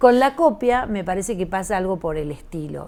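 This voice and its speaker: With very wide pitch swings, a woman talks at a moderate pace. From Argentina, Rosario. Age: 60s. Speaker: visual artist. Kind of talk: interview conversation. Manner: halting, many fillers.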